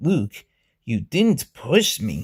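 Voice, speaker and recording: A man performs a put-on character voice. It sounds raspy and sits at a medium pitch. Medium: read story. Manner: hesitant, with mm pauses.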